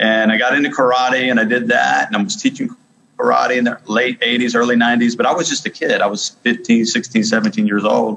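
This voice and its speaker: A man rushes through his words at a very fast clip while noticeable background noise plays behind him. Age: 40s. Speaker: martial arts coach. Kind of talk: interview.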